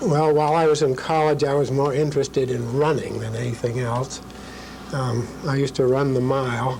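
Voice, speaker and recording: A man with an American accent, fairly even intonation, audible room echo, and noticeable background noise. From New Hampshire, US (Concord). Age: 70s. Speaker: retired lawyer. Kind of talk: oral history interview. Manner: halting, many fillers.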